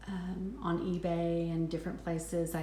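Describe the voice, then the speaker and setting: A woman with a slight West Texas accent speaks at a fairly low pitch. Her fairly slow pace comes with audible room echo. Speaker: handbag reviewer, vlogger. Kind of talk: product review. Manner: hesitant, many ums.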